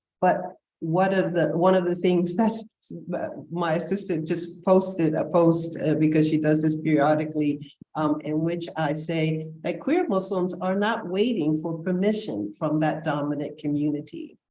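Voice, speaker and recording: A woman speaks at a fairly low pitch with a dark, mellow tone and ordinary pitch variation. Her pace is moderate, and there is audible room echo. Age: 70s. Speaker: panel moderator, scholar. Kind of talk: panel discussion remarks. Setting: video call. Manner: hesitant with fillers.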